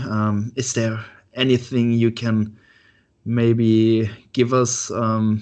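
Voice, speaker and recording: This is a man speaking. He has a German accent. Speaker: podcast host. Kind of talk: interview. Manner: halting.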